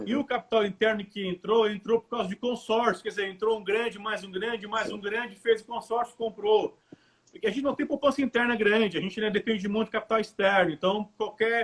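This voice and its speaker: This man talks at a fairly quick pace with a high pitch. His loudness swings widely. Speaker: political party member hosting a finance talk. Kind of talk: livestream talk on personal and business finance. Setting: online live stream. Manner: animated, occasionally stumbling over words.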